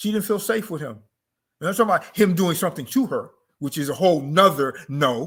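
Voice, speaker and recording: A man with a high pitch uses lively intonation, recorded very cleanly against a silent background. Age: 60s. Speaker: author and cultural teacher on African culture. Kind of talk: interview monologue on culture and economics. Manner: emphatic, repetitive.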